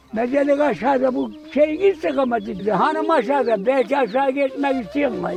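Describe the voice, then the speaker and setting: Music plays in the background as a man with an extremely high pitch speaks at a moderate pace, ordinary pitch variation, and hardly any pauses. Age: 80s+. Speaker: shepherd. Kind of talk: interview answer.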